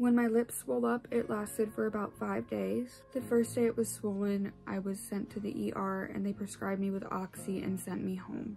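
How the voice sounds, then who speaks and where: There is noticeable background noise behind this woman. She speaks at a moderate pace with hardly any pauses. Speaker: vlogger. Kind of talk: personal testimony.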